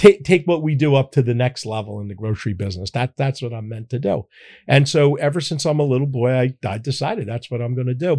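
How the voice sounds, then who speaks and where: A man speaks very fast in a dark, mellow, somewhat breathy voice at a medium pitch, with an American accent and ordinary pitch variation. The recording is very clean and dry, close with no echo, over a silent background. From Philadelphia. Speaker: grocery chain founder. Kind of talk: interview. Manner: halting, repeats words.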